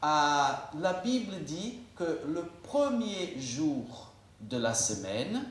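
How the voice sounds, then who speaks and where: Over noticeable background noise and audible room echo, a man talks at a very slow pace, his fairly high voice swinging very widely in pitch. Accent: Portuguese. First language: Portuguese (speaking French). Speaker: pastor. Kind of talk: sermon.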